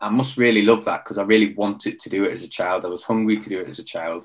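Very fast delivery from a man, fairly low in pitch, with ordinary variation in that pitch. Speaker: former Royal Marines commando, mentor and coach. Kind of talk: casual interview conversation.

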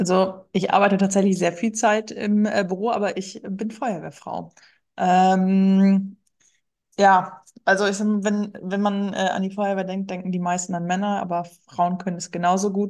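Fairly slow, monotone, flat delivery from a woman at medium pitch. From rural Germany. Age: 30s. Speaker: firefighter and amateur marathon runner. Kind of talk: interview.

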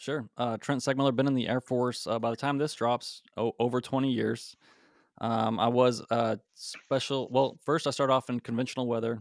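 In a very clean recording with a silent background and a dry, close sound with no echo, a man with an American accent talks at a fairly quick pace, his medium pitch flat and monotone. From Utah, Salt Lake City suburbs. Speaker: air force special reconnaissance airman, podcast co-host. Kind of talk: casual interview chat.

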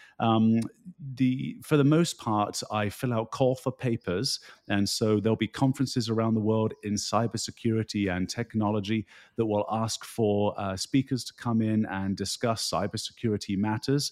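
The speaker has a British accent, fairly even intonation and a moderate pace. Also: man, medium pitch for a man. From United Kingdom. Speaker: keynote speaker. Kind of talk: casual interview conversation.

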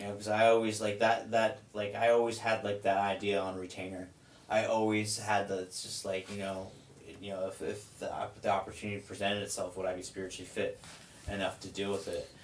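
A man talks fairly quickly in a fairly low, monotone, flat voice with big swings in loudness against noticeable background noise. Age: 30s. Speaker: person in drug addiction recovery. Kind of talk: casual chat.

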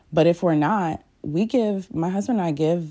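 A woman with a dark, mellow, warm tone speaks at a moderate pace with ordinary pitch variation on a very clean recording with a silent background. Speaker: podcast host and prayer leader. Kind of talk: fervent prayer; devotional talk with scripture reading. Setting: solo recording. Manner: earnest, heartfelt, fervent; warm, intimate, sometimes halting.

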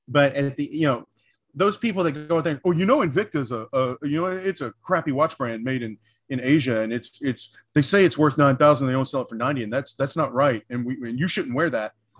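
Fairly high in pitch, a man with an American accent and a plain, everyday voice talks at a fairly quick pace with ordinary pitch variation, in a very clean, dry, close recording with no echo and a silent background. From US South. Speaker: cigar industry professional. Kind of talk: casual chat.

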